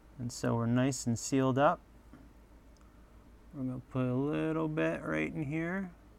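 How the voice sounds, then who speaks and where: This man's voice sits at a medium pitch and swings very widely in pitch. He leaves long, frequent pauses. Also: fairly slow pace. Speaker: RC hobbyist YouTuber. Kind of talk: tutorial. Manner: casual, self-deprecating chatter.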